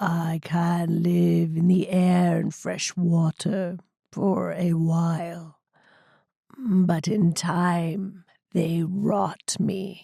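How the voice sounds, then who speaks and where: Putting on a croaky, raspy character voice, a woman talks at a very slow pace in a fairly low pitch. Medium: read story. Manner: slow, forced human speech.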